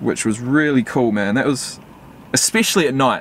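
The man's voice comes through dry with no echo, over light background noise. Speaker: vlogger. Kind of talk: casual vlog chat. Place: car.

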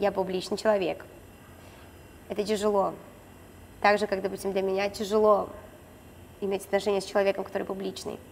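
Speaking fairly quickly with long, frequent pauses, a woman keeps a monotone, flat intonation over light background noise. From Khabarovsk, Russia; Russia. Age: 20s. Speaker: reality show participant, blogger; blogger. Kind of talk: casual interview chat. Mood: relaxed, candid storytelling. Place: gym. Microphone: lapel.

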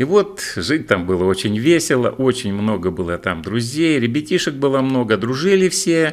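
A man speaks at a fairly slow pace with very wide pitch swings against a quiet background. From Russia, Barnaul (Altai); Russia. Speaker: video blogger. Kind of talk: reminiscing monologue. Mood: warm, nostalgic, smiling. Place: home room. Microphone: studio mic.

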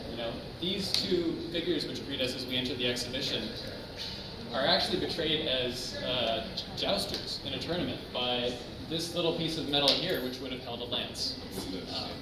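A man speaks at a moderate pace with long, frequent pauses. Loud background noise and audible room echo surround him. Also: ordinary pitch variation. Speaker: exhibition guide. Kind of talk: guided tour explanation. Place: hall. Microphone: camera far.

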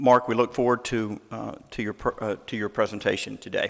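The speaker is a man with a fairly low pitch. His intonation stays fairly even. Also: fairly bright tone.

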